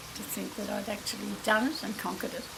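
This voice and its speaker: Amid noticeable background noise and audible room echo, a woman talks at a fairly high pitch. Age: 80s+. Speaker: grandmother sharing experience. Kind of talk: personal anecdote.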